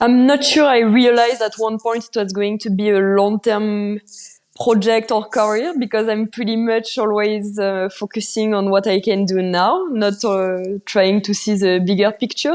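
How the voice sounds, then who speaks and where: The speaker has a French accent and fairly even intonation. The background is quiet. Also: woman, fairly high pitch for a woman, moderate pace. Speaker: mountain bike racer. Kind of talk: podcast interview.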